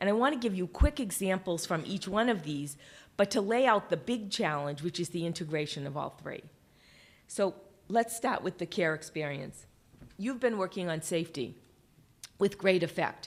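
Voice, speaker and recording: A woman with a Boston accent speaks at a medium pitch with lively intonation. She leaves long, frequent pauses, on a very clean recording with a silent background. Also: moderate pace. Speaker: healthcare quality leader, keynote speaker. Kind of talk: conference keynote talk. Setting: stage with audience, webcast.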